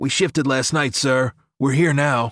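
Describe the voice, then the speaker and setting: Recorded with a dry, close sound, no echo and a quiet background, a man puts on a raspy character voice at a medium pitch. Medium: read story. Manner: respectful, clipped.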